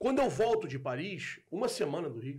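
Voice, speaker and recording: A man with a Carioca accent and lively intonation. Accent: carioca Brazilian Portuguese. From Rio de Janeiro, Brazil. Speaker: football content creator. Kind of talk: casual chat.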